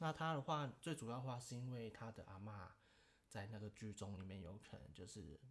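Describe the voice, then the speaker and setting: Somewhat breathy and fairly low-pitched, a man talks at a fairly quick pace with lively intonation. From Taiwan. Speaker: podcast guest, host's childhood friend. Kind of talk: casual chat.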